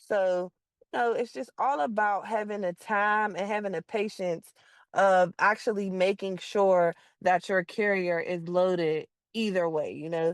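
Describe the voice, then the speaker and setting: A woman with an American accent speaks in a normal speaking voice at medium pitch, fairly slowly and with fairly even intonation, the sound dry and close with no echo against a quiet background. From Pittsburgh, Pennsylvania. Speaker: car hauling dispatcher. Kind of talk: informal teaching talk.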